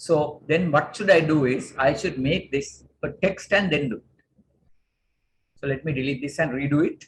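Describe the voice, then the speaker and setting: Somewhat breathy, a man talks at a moderate pace in a fairly high pitch with ordinary pitch variation. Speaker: corporate trainer. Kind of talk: tutorial. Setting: video call.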